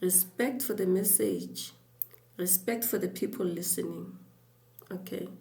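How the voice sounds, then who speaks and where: A soft-spoken woman at a fairly slow pace, medium in pitch with ordinary pitch variation, long, frequent pauses and audible room echo. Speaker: YouTube creator. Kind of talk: scripted talk to camera.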